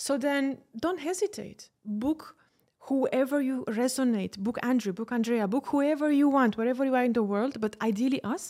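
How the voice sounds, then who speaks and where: A woman with a Romanian accent speaks at a moderate pace and a high pitch with ordinary pitch variation, in a very clean recording with a silent background. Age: 30s. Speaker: public speaking and executive coach. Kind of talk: casual interview. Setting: studio. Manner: animated.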